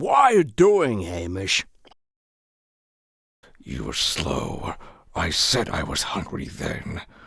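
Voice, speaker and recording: A raspy, put-on character voice at a very slow pace, with long, frequent pauses. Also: man, fairly low pitch for a man. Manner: gruff, irritable.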